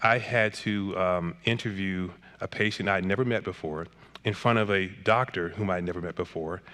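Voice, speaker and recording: A man's fairly low-pitched, bright, sharp voice with an American accent and ordinary pitch variation, over a quiet background. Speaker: psychiatrist and author. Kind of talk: interview conversation. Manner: fast.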